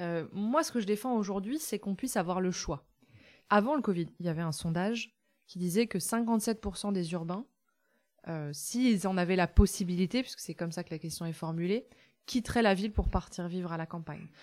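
At a moderate pace, a woman talks in a normal speaking voice at a medium pitch with ordinary pitch variation, on a very clean recording with a silent background. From France, rural. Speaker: farmer and author. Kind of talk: interview. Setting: in her village café shop.

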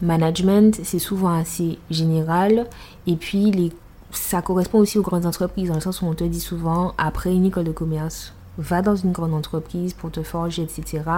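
A woman's fairly low, somewhat breathy voice with a dark, mellow tone, monotone, flat intonation and a moderate pace. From Martinique. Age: 20s. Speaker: dance teacher. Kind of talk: casual interview. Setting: at home.

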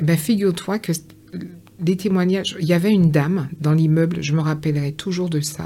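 A woman speaks with a normal speaking voice at a fairly quick pace. Her pitch is fairly low, and her intonation is fairly even. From Guadeloupe, Pointe-à-Pitre. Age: 50s. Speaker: author. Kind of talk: interview.

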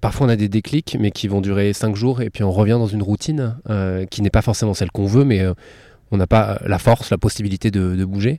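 A man with a fairly low pitch and a dark, mellow tone talks at a fairly quick pace with ordinary pitch variation, the sound dry and close with no echo. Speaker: podcaster interviewing the host. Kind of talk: interview questions. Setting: outdoors in a garden. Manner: raised voice to cover surrounding sounds.

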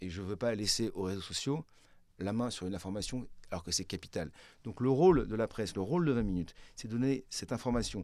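In a very clean recording with a silent background, a man with an unremarkable speaking voice and fairly low pitch talks at a fairly quick pace with lively intonation. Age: 50s. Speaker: media executive. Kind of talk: interview.

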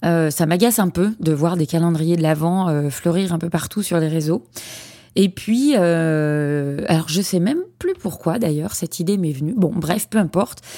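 A woman with a dark, mellow tone and a fairly low pitch speaks at a fairly slow pace with ordinary pitch variation. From France, Lyon region. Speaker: podcast host, founder of a platform for child therapists. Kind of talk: solo podcast monologue. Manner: hesitant, many fillers and repetitions.

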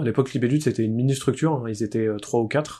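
The man here has a dark, mellow tone. The recording is very clean, with a silent background. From France, Poitiers. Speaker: board game designer. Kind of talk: casual chat.

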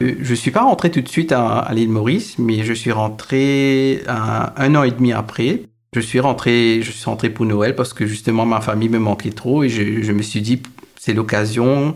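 Fairly even intonation marks this man's speech at medium pitch. His pace is moderate. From Mauritius. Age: 30s. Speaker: internet researcher. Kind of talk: personal storytelling interview. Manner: halting, many repetitions.

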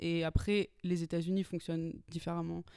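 The voice has a dark, mellow tone and moves at a fairly quick pace. It comes through on a very clean recording with a silent background. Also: woman. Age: 20s. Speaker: screenwriter. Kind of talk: interview.

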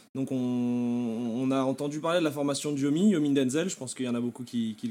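This man talks at a fairly quick pace with hardly any pauses. His voice has a dark, mellow tone and a medium pitch. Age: 20s. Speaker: e-commerce entrepreneur. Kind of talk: podcast interview.

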